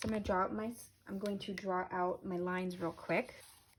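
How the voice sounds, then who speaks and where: A woman speaks at a moderate pace with medium pitch and ordinary pitch variation. Noticeable background noise runs underneath. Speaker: Montessori teacher. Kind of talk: tutorial. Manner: warm, encouraging.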